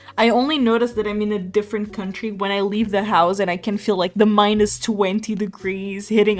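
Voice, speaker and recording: A woman with a Portuguese accent speaks at a medium pitch and a moderate pace. Her intonation is monotone and flat. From Portugal. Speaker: streamer. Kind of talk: casual chat. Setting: live stream.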